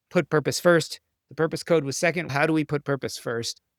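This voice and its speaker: At a fairly quick pace and with ordinary pitch variation, the voice comes through dry and close with no echo in a very clean recording with a silent background. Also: man. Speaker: physician and author. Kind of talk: interview conversation. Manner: animated, passionate.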